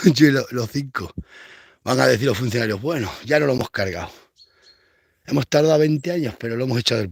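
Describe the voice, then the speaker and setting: On a very clean recording with a silent background, a man of medium pitch talks very fast in an animated tone, broken by long, frequent pauses. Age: 40s. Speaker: rural vlogger, goat farmer. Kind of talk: casual vlog monologue.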